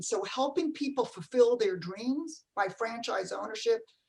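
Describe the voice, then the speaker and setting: A woman with a New Jersey accent talks at a fairly high pitch and moderate pace with ordinary pitch variation. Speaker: franchise company CEO. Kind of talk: panel discussion.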